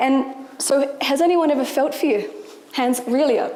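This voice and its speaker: A woman with an Australian accent speaks with ordinary pitch variation. Audible room echo and noticeable background noise fill the recording. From rural New South Wales, Australia. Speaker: entrepreneur and marketing manager. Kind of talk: motivational talk. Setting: stage with audience.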